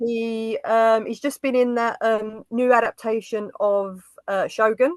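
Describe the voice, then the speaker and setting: A woman's fairly high voice with an East London accent, fairly even intonation, a fairly slow pace and a dry, close sound with no echo. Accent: Dagenham. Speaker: film YouTuber. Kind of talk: casual chat.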